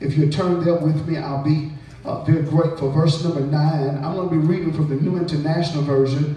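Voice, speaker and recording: A man's fairly high voice, animated in tone, at a fairly quick pace with audible room echo. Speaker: preacher. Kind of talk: revival sermon, call-and-response with congregation. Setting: church with congregation. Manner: rising, rhythmic preacher cadence with repeated refrains; animated, exhorting the crowd. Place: church. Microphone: camera far.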